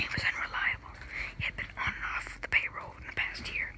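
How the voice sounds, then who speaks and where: Very fast whispering against noticeable background noise. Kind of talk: ASMR book reading.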